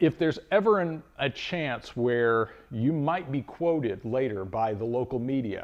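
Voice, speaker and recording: Against a quiet background, a man speaks at a medium pitch. His intonation is lively. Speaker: mold supply business owner. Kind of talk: personal story telling. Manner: loud; halting.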